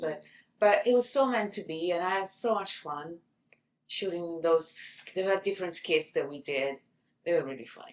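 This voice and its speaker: A woman with an Italian accent speaks at a moderate pace in a fairly low pitch, her intonation lively. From Italy. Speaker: actor.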